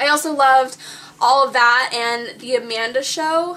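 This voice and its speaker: A woman's raised, projected voice. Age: 20s. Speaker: YouTube vlogger. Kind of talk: casual chat. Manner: animated.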